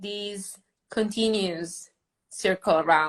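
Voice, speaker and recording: Speaking at a very slow pace, a woman talks in an Italian accent. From Italy. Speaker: food photographer and educator. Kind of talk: tutorial. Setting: live online session. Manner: halting.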